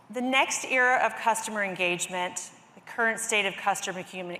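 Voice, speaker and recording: A woman talks at a medium pitch with fairly even intonation. Noticeable background noise runs behind her. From US South, Greenville, South Carolina. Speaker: industry analyst. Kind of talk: conference presentation.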